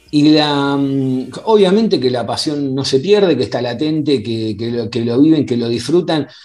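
The speech moves at a moderate pace with lively intonation and hardly any pauses. It is delivered in an Argentine accent. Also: man, fairly high pitch for a man. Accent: Rioplatense Argentine Spanish. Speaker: podcast host. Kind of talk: casual interview. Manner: halting.

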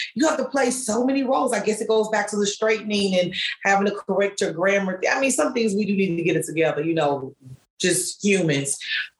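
At medium pitch and with a slight Southern US accent, a woman talks at a fairly quick pace with lively intonation. Her loudness stays very even over noticeable background noise. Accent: slight Southern twang. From US Midwest. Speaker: author and blogger. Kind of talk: casual interview conversation.

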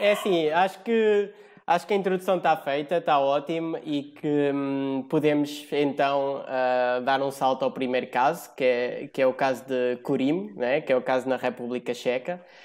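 An unremarkable speaking voice from a man, fairly high in pitch, over a quiet background. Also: ordinary pitch variation, moderate pace, hardly any pauses. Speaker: podcast host. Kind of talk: casual chat.

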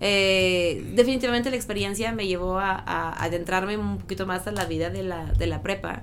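A woman talks at a moderate pace with hardly any pauses. Audible room echo and noticeable background noise surround her. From northern France (Lille). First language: French (speaking Spanish). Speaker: schoolteacher. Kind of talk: interview.

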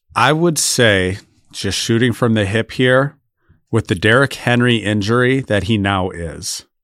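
A man with a plain, everyday voice and an American accent speaks at medium pitch and a fairly slow pace, with ordinary pitch variation, in a very clean recording with a silent background. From Michigan. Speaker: football podcast host. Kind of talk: casual chat.

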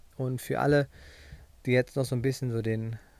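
A man speaks at a fairly quick pace in a dark, mellow tone, with a medium pitch and ordinary pitch variation. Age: 30s. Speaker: podcast host, running coach. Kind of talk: solo podcast monologue. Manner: casual, conversational.

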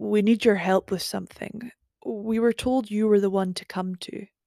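In a put-on character voice, the speaker sounds gruff and fairly high-pitched, going at a moderate pace.

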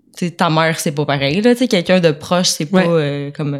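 A woman with a very deep, low pitch at a moderate pace. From Quebec, Sainte-Anne-de-Sorel. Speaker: barista. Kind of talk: casual chat.

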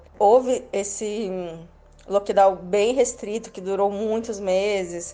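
Her tone is dark and mellow as a woman speaks at a fairly slow pace in a monotone, flat intonation. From Brazil. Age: 30s. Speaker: Brazilian expat living in India. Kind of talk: interview.

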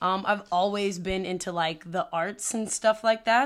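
An ordinary speaking voice, this woman talks at a fairly slow pace with an American accent and fairly even intonation on a very clean recording with a silent background. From Prince George's County, Maryland. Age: 20s. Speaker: podcast co-host and theater teacher. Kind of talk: casual chat.

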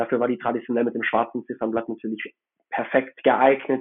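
A man talks at a fairly quick pace. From Hamburg, northern Germany. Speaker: watch collector. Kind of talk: casual chat.

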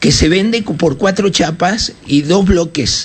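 Against noticeable background noise, the speech comes at a fairly slow pace with ordinary pitch variation. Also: man. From Uruguay. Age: 70s. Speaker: radio journalist and political party founder. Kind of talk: radio interview.

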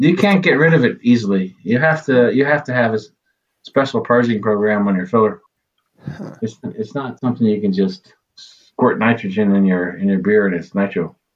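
In a normal speaking voice, a man with an American accent talks at a moderate pace, medium in pitch and lively in intonation. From United States. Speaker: brewery co-owner. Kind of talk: casual chat.

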